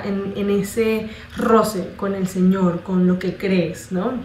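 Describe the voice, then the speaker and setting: Audible room echo and noticeable background noise around a woman's medium-pitched, monotone, flat voice. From Colombia. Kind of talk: testimony. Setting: congress talk before audience. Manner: halting, with fillers.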